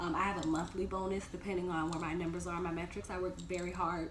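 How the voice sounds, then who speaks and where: Fairly low in pitch, a woman talks at a fairly quick pace. Noticeable background noise and audible room echo are present. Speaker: dental assistant vlogger. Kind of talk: casual Q&A vlog. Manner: hesitant, many ums.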